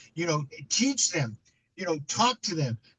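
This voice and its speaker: The speech runs at a fairly quick pace with lively intonation. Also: man. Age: 70s. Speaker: immigrant rights activist. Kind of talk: panel discussion. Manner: repetitive, stumbling.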